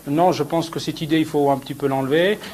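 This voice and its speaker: A man speaks in an ordinary speaking voice, fairly high in pitch, with fairly even intonation. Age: 30s. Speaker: fashion designer. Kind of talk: interview.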